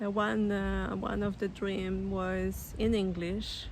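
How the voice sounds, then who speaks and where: A woman with a Polish accent. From Poland. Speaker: spiritual storyteller, author. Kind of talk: personal testimony. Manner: halting, many fillers.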